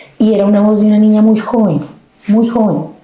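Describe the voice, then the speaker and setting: Her voice is a woman's. The room around her gives off audible echo. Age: 50s. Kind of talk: testimony interview. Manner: animated.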